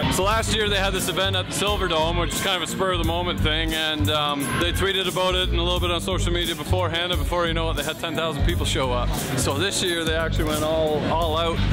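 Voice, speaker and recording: Music plays behind a man who speaks at a very rapid clip. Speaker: vlogger, host. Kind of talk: casual vlog chat. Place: street.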